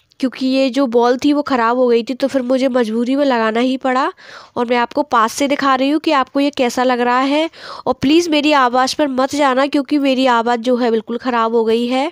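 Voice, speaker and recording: A woman speaks in a high voice with monotone, flat intonation and very even loudness at a moderate pace. The sound is dry and close, with no echo. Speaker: vlogger. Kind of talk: casual vlog chat.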